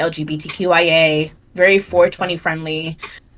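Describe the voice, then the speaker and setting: A woman speaks loudly in a fairly low pitch at a moderate pace. Her tone is bright and sharp. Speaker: streamer. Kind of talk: interview. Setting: livestream.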